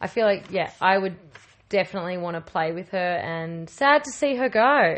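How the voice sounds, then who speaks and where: An unremarkable speaking voice, moderately paced, its intonation lively. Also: woman. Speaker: guest co-host. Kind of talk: casual chat.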